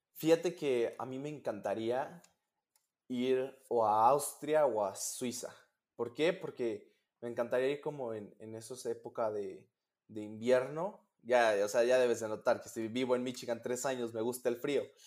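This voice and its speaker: An ordinary speaking voice from a man, medium in pitch with ordinary pitch variation, on a very clean recording with a silent background. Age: 20s. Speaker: competitive swimmer and university student. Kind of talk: interview.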